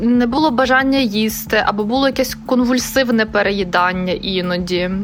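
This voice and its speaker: Over noticeable background noise, a woman with a fairly high voice talks at a moderate pace with ordinary pitch variation. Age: 30s. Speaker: interviewee sharing a depression story. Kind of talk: personal testimony.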